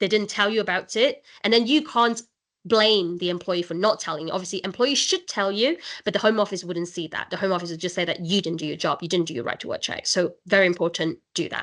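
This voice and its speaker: A woman at a medium pitch and very fast pace, with ordinary pitch variation. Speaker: immigration solicitor. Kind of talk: webinar presentation. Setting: online webinar.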